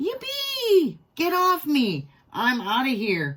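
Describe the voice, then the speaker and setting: Very slow, high-pitched delivery in a put-on character voice that sounds female. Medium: read story. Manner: dramatic, worried.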